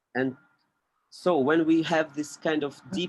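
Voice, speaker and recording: A man speaks with a non-native accent. His pitch is fairly high and his pace moderate. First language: not English. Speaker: podcast guest. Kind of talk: casual chat. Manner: halting.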